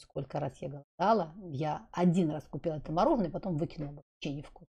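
Against a quiet background, a woman speaks with a very deep, low pitch, ordinary pitch variation, a dark, mellow tone and a somewhat breathy quality. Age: 50s. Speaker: wellness blogger. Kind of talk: vlog monologue. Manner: casual, rambling. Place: home room. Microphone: studio mic.

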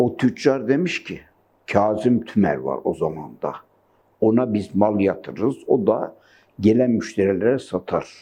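A man's dark, mellow voice with vocal fry, at a very slow pace. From Gaziantep, Turkey. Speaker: retired yarn maker and weaver. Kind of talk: oral history interview answer.

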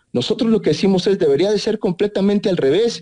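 The man's voice has a dark, mellow tone. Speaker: senator. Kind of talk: radio interview.

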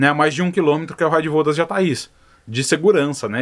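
Over a quiet background, a man speaks at a very fast pace in a fairly high voice with ordinary pitch variation. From Brazil. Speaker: stingless beekeeper and video creator. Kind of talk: tutorial answering viewer questions. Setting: outdoors at the apiary. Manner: casual, conversational.

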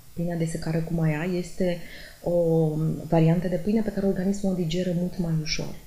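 Her tone dark, mellow and somewhat breathy, a woman speaks at a fairly low pitch and moderate pace. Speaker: nutrition doctor. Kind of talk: explanatory commentary. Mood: calm, explanatory. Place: office.

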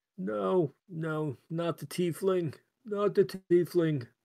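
Speaking very slowly in a put-on character voice with a high pitch, a man sounds dry and close with no echo. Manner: terrified, pleading.

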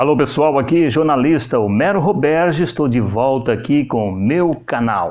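An animated man at a moderate pace, with lively intonation, very even loudness and hardly any pauses, over a quiet background. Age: 60s. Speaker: journalist and vlogger; vlogger, journalist. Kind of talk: casual vlog talk. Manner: repetitive, animated. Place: home room.

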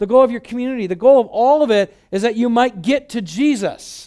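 Against a quiet background, a man with an American accent speaks at a fairly quick pace, his extremely high pitch showing ordinary pitch variation. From Michigan, US. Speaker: pastor. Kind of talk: sermon. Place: hall. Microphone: headset.

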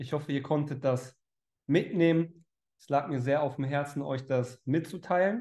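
A man talks at a fairly slow pace, his pitch varying in an ordinary way, with a quiet background behind him. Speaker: online speaker or coach. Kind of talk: motivational talk to viewers. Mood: warm, upbeat, sincere. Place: home room. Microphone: headset.

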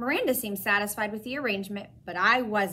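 Plain reading aloud. The delivery stays simple throughout.

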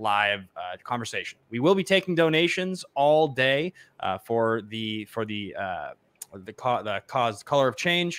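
A man talks at a fairly slow pace with very wide pitch swings. The sound is dry, with no echo. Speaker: show host. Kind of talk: live show host introduction. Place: home room. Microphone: studio mic.

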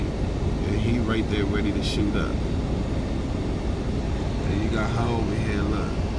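Through loud background noise, a man speaks fairly slowly with long, frequent pauses. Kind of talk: casual vlog commentary. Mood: dismayed, incredulous. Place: car. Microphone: phone near.

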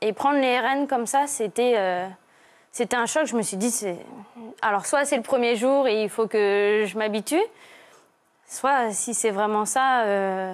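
A woman speaks at a very slow pace, leaving long, frequent pauses. Her pitch is fairly high, with ordinary variation. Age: 20s. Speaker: primary school teacher; young teacher, guest. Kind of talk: testimony. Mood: troubled, emotional recounting. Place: studio. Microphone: lapel.

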